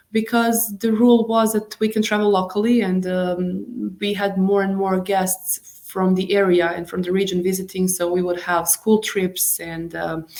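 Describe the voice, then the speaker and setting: Speaking with a Bosnian accent, a woman keeps her intonation fairly even and hardly pauses at all. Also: medium pitch for a woman, moderate pace. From Bosnia and Herzegovina, Mostar. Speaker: tour guide. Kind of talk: interview. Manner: halting.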